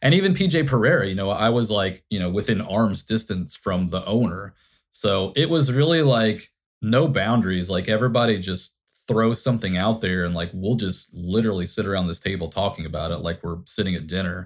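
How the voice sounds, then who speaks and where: In a very clean recording with a silent background, a man with an American accent talks at a fairly quick pace in a fairly low pitch, using ordinary pitch variation and an unremarkable speaking voice. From Indiana. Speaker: advertising creative director. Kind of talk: interview.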